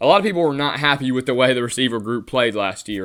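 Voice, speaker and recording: Recorded very cleanly against a silent background, a man talks at a medium pitch. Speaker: sports podcast host. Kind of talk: casual solo sports commentary. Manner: halting, with filler words.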